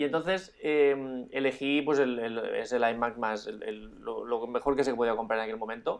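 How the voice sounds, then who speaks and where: An unremarkable speaking voice from a man, medium in pitch, fairly slow in pace, with fairly even intonation. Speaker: drone podcast co-host and YouTuber. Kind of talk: casual chat.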